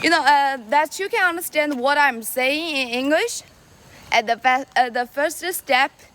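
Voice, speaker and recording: A woman talks fairly slowly in a high voice, her intonation lively, amid noticeable background noise. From China. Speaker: live streamer. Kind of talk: casual live stream chat. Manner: halting, with many fillers and repetitions.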